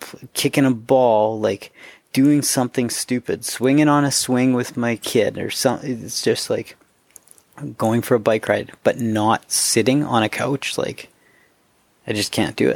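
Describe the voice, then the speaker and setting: A man with a normal speaking voice and medium pitch talks at a fairly slow pace, the sound dry and close with no echo. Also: fairly even intonation. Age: 30s. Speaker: podcast host. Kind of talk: casual interview chat. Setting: remote call.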